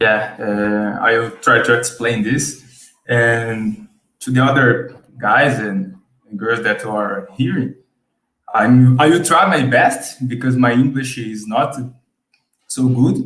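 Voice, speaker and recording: Speaking with a Brazilian Portuguese accent at a medium pitch, a man talks very slowly with long, frequent pauses, and room echo is audible. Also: ordinary pitch variation. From Brazil, Sao Paulo. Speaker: subscriber guest. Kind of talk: casual chat. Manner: halting.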